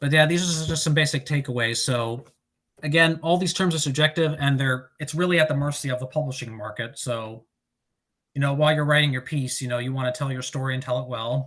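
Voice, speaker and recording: A man at a very fast pace, fairly high in pitch, with fairly even intonation. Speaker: author giving a writing presentation. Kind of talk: presentation. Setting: online presentation.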